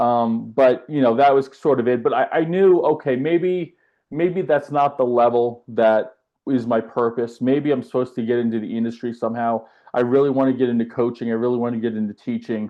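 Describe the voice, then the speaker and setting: With an American accent, a man speaks at a fairly quick pace and medium pitch, with ordinary pitch variation and an unremarkable speaking voice. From US South (west coast of Florida, Tampa Bay). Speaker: tennis coach. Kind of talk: podcast interview. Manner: casual, with filler words.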